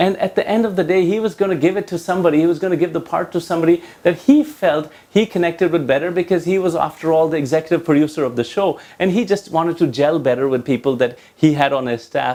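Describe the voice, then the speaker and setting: This man, with a slight Indian accent, talks at a very fast pace with hardly any pauses. His pitch is high with ordinary variation, and his tone is dark and mellow. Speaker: leadership trainer and coach. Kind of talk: talking-head tutorial.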